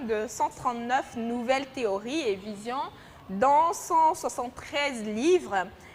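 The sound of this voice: A woman's fairly high pitch at a fairly slow pace, with ordinary pitch variation and few pauses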